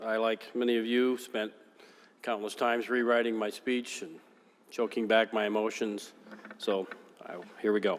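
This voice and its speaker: With noticeable background noise, a man with an American accent speaks at a medium pitch in a monotone, flat intonation, leaving long, frequent pauses. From West Michigan, US. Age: 50s. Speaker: politician. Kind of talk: farewell speech. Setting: legislative chamber. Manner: formal.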